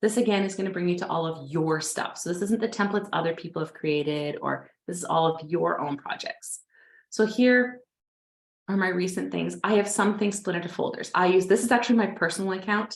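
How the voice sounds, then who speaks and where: A woman talks at a fairly quick pace in an ordinary speaking voice, with medium pitch and ordinary pitch variation. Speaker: webinar presenter on design software. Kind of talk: tutorial webinar. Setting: online webinar. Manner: casual, filler words.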